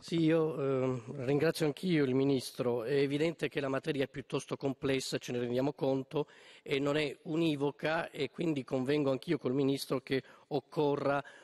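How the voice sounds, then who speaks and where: The background is quiet as a man speaks at a medium pitch. He keeps a moderate pace and fairly even intonation. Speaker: member of parliament. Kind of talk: parliamentary oratory, formal question. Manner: hesitant, many filler sounds. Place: hall. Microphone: podium.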